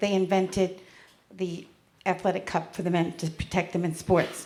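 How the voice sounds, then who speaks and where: A woman with a US Northeastern accent, medium pitch and moderate pace, amid audible room echo. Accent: US Northeast. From Connecticut and New York, US Northeast. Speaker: stand-up comedian. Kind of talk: stand-up. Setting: stage with audience.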